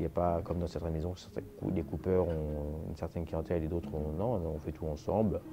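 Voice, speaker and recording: Hardly pausing, a man talks at a fairly quick pace. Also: fairly even intonation. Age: 40s. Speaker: master tailor. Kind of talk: interview. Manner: hesitant.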